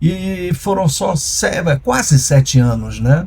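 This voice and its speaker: The man's voice has a dark, mellow tone. It comes across as somewhat breathy. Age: 60s. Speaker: former music and TV producer, entrepreneur. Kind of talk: interview conversation. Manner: halting.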